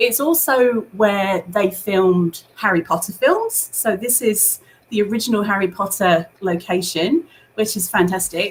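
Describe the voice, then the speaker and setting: With noticeable background noise around her, a woman speaks fairly slowly, her medium pitch showing ordinary variation. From northeast England (Northumberland), early childhood in Hong Kong. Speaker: school teacher, English department leader. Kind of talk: casual interview chat.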